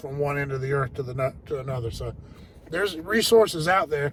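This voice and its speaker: Somewhat breathy, a man speaks at a fairly quick pace and a fairly high pitch. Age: 50s. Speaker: HVAC technician. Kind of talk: casual vlog talk to viewers.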